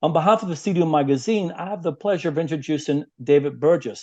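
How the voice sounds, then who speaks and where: A man with a Northern Irish accent talks at a fairly quick pace in a dark, mellow tone. His pitch variation is ordinary, and the background is quiet. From Northern Ireland, Belfast. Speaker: interviewer, consulting executive. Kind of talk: interview. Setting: video interview. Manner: halting, many fillers.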